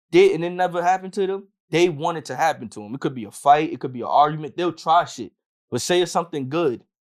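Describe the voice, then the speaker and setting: A man with a New York accent talks at a very fast pace, his fairly high pitch showing ordinary variation. The recording is very clean, with a silent background. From Yonkers, New York. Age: 20s. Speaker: hip hop artist. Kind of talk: casual chat.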